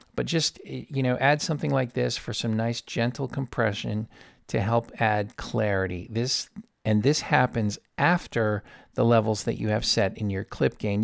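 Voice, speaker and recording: This man's voice sits at a medium pitch, moving at a moderate pace with ordinary pitch variation. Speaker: audio engineer. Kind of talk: tutorial. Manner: casual, informal.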